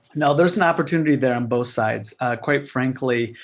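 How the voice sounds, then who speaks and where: A man speaks with ordinary pitch variation. His is a plain, everyday voice. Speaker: retail merchandising executive. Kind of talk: webinar discussion. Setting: phone call.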